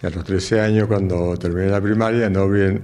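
A man with very deep, low pitch, fairly even intonation, and a moderate pace. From Argentina. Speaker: retired barber. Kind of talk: interview. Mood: calm, warm. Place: shop. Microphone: handheld.

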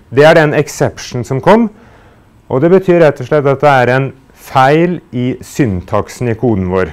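In a plain, everyday voice, a man at medium pitch talks at a fairly slow pace with lively intonation. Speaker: university lecturer. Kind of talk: lecture.

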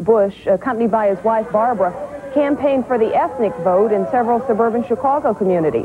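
There is faint background noise as a woman talks at a fairly quick pace. Her pitch varies in an ordinary way.

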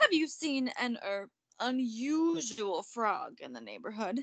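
A woman's put-on character voice, fairly high in pitch, with big pitch swings, vocal fry and a slow pace

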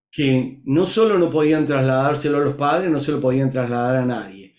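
In a room with audible echo but a quiet background, a man speaks fairly slowly with a fairly high pitch and ordinary pitch variation. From Argentina, Córdoba. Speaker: leadership coach guest. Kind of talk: interview storytelling. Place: home room. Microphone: webcam.

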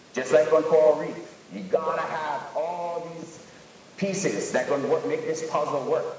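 Moderate pace in audible room echo, with light background noise. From Hawaii. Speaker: local fisherman in documentary. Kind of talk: documentary interview. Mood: earnest, protective. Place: classroom.

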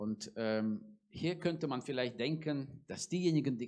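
A man at a very slow pace against a quiet background. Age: 40s. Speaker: preacher. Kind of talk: sermon. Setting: church. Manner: hesitant, many filler sounds. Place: church. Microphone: handheld.

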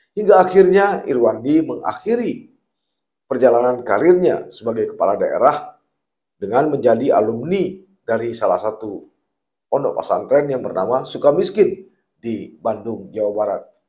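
A man's dark, mellow voice with very wide pitch swings. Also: moderate pace, quiet background. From Aceh, Indonesia. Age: 50s. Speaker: journalist and commentator; journalist, commentator. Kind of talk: open letter read aloud. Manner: formal. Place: studio. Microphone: lapel.

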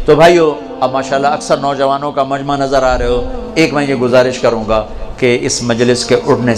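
A man speaks over light background noise. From Pakistan. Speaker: Islamic preacher. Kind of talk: religious sermon to a gathering. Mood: warm, persuasive. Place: hall. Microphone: handheld.

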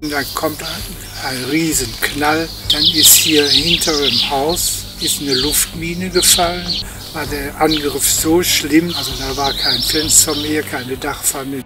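Loud background noise sits under a very slow delivery, with dry sound and no echo. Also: man. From Velbert-Neviges, Bergisches Land. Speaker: war eyewitness. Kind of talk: interview answer. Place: street.

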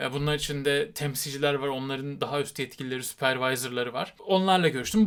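Speaking at a fairly quick pace, a man uses ordinary pitch variation and an animated tone. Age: 30s. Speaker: YouTuber and rock musician. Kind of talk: vlog monologue.

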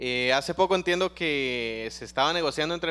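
Bright and sharp in tone, a man speaks at a fairly high pitch and a moderate pace with lively intonation. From Costa Rica. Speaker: student. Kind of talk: classroom question. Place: classroom.

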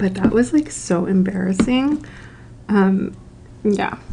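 A soft-spoken woman is whispering at a fairly slow pace. Light background noise is present. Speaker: ASMR creator. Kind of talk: casual talk to camera. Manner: soft-spoken, whispered.

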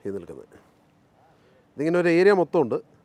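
His pitch moves in very wide swings. The speaker is a man. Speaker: farming video host. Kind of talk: presenting a farm tour. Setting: outdoors.

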